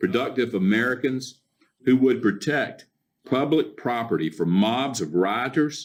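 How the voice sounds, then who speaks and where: Lively intonation at a moderate pace. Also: man. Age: 60s. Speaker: county commissioner. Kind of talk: public meeting speech, partly read from notes. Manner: halting with fillers and restarts.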